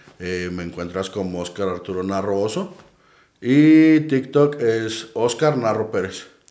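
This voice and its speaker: A man's fairly low voice, dark and mellow in tone, with lively intonation, a very slow pace and audible room echo. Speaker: paranormal investigator. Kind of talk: casual chat.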